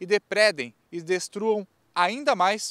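Bright, sharp tone from a man at a high pitch, dry with no echo. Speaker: TV news reporter. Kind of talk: news report stand-up. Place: street. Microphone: handheld.

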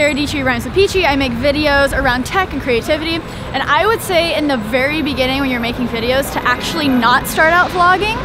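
A woman uses a raised, projected voice at a fairly quick pace with hardly any pauses. Noticeable background noise runs behind her. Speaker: video creator stopped on the street. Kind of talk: interview answer. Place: street. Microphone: phone near.

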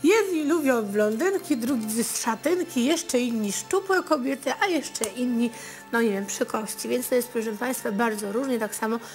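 The speech moves at a moderate pace with hardly any pauses. Faint music sits in the background. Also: woman, high pitch for a woman. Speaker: TV fortune-teller host. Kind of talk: advice talk to viewers. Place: studio.

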